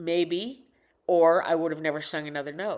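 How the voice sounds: Delivered at a moderate pace with fairly even intonation, the speech is a very clean recording with a silent background. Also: woman.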